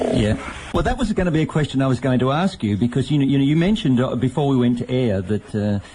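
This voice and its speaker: There is noticeable background noise as a man speaks with an Australian accent. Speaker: radio host and former rock musician. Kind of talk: radio interview.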